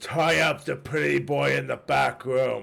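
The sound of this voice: Using a put-on character voice, a man talks at a fairly slow pace with a fairly low pitch and very wide pitch swings.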